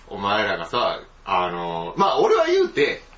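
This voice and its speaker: Someone speaks with a Kansai accent over noticeable background noise. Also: man. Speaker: podcast host. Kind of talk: casual chat.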